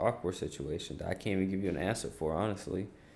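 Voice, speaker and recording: A quiet man's voice, fairly low in pitch, with ordinary pitch variation. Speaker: streamer. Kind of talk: casual chat. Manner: quiet, chill.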